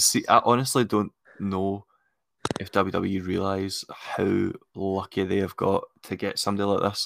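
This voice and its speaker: A man's fairly low, monotone voice with a Scottish accent, at a fairly slow pace, in a dry, close sound with no echo. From Scotland. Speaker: wrestling podcast co-host. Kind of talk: casual chat.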